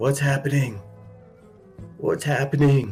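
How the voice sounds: A man speaks in a raspy, put-on character voice at a medium pitch with ordinary pitch variation. His pace is fairly slow, and clear music plays in the background.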